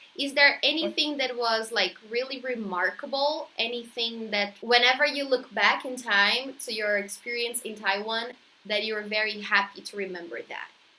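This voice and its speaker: Amid noticeable background noise, a woman talks at a moderate pace in a fairly high pitch, with ordinary pitch variation and big swings in loudness. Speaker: YouTuber, interviewer. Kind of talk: casual interview.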